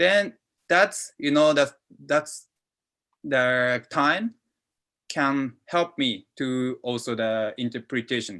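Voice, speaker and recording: Using a bright, sharp tone and lively intonation, a man with a Japanese accent and fairly high pitch speaks at a very slow pace with long, frequent pauses. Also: quiet background. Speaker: football interpreter. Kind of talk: panel talk answering a question. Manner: halting, many fillers.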